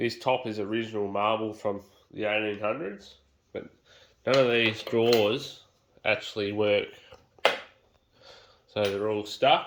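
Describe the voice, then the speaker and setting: A man with an Australian accent, fairly low-pitched and monotone, at a fairly slow pace with long, frequent pauses. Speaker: home renovator. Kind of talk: casual talk to camera.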